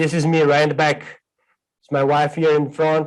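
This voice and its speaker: The man talks at a fairly high pitch. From Brazil (Sao Paulo state, Piracicaba), born in Ecuador. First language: Portuguese or Spanish. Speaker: plant scientist, research specialist. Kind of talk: seminar talk. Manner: fast, non-stop.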